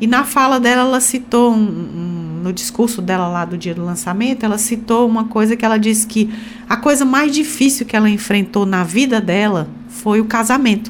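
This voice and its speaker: A woman talks at a moderate pace with a fairly high pitch and ordinary pitch variation. Noticeable background noise and audible room echo surround her voice. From Ceará, Brazil (Sobral). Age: 50s. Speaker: state legislator and physician. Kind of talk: radio interview.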